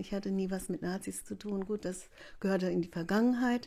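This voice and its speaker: Her dark, mellow tone sits at a medium pitch as this woman speaks at a fairly quick pace. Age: 60s. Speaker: village activist. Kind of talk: interview. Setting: living room.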